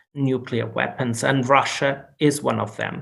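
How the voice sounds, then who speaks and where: With audible room echo behind him, a man speaks very slowly in a flat, monotone voice of medium pitch. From Portugal. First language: Portuguese. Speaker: law professor and Jesuit priest. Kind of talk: lecture. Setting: video call. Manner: halting.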